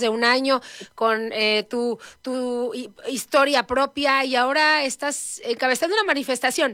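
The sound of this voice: A woman with a high voice and a bright, sharp tone speaks with ordinary pitch variation in a very clean recording with a silent background.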